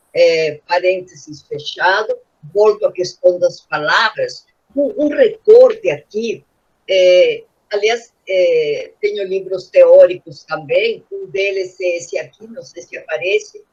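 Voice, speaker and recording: A woman with a strong Spanish accent speaks at a very slow pace, her voice showing big swings in loudness. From Peru. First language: Spanish (speaking Portuguese). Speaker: children's author. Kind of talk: panel discussion. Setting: video call. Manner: animated.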